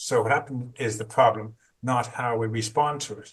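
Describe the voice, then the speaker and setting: A plain, everyday voice at a fairly quick pace. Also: man. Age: 60s. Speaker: trauma therapist. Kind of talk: interview.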